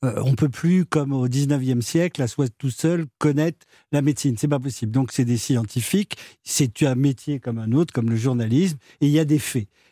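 In a very clean recording with a silent background and a dry, close sound with no echo, a man speaks at a medium pitch and a moderate pace, his tone dark and mellow with ordinary pitch variation. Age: 60s. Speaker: doctor. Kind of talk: radio talk show.

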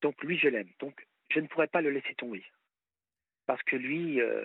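A man speaks at a fairly slow pace. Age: 50s. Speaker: caller. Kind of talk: personal testimony on radio call-in. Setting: phone call.

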